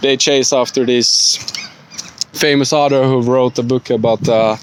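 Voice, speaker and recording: A man at a medium pitch, fairly slow, with fairly even intonation, very even loudness, long and frequent pauses, and noticeable background noise. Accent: non-native. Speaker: student. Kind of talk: spoken book report. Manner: halting, many fillers.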